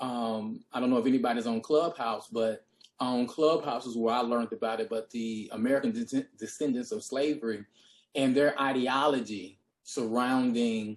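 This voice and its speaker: Man with a Deep South US accent, fairly even intonation, moderate pace. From US Deep South. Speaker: history professor. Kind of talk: panel discussion. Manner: hesitant, many fillers.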